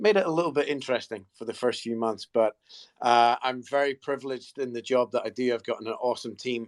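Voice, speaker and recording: The man's voice sits at a medium pitch with ordinary pitch variation. He talks at a very fast pace. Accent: Scottish. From Scotland, near St Andrews. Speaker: golf company marketing executive. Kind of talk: panel discussion in a live audio space. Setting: online audio room.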